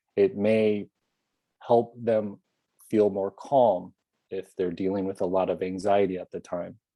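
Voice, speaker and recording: A man speaks with a fairly low pitch and monotone, flat intonation. He leaves long, frequent pauses. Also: fairly slow pace. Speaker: app creator. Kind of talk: interview. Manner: calm meditative cadence.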